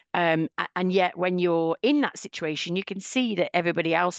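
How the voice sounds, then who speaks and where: A woman talks at a moderate pace in a fairly low voice with ordinary pitch variation. The sound is dry and close with no echo, over a quiet background. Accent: British. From UK. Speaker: cultural intelligence trainer and author. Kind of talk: podcast interview.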